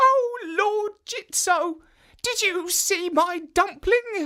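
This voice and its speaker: Someone puts on a character voice with an extremely high pitch. The delivery is very slow. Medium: read story. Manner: giggly.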